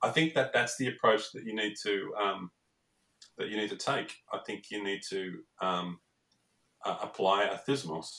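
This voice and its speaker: A moderate pace broken by long, frequent pauses. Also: man. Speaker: startup accelerator cofounder and mentor. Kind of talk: interview conversation about startups. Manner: hesitant, repeats words and fillers.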